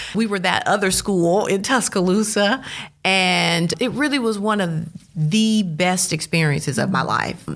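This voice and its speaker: A woman with a Southern US accent speaks at a fairly slow pace and a medium pitch. Her loudness stays very even while her intonation is lively. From Mississippi, Starkville. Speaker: TV news journalist and lecturer. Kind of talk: interview conversation.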